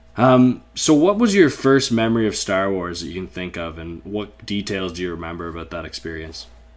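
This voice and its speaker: Using a very deep, low pitch, a man with a Canadian accent speaks with lively intonation and big swings in loudness. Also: fairly quick pace. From Canada. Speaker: podcast host. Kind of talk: podcast interview.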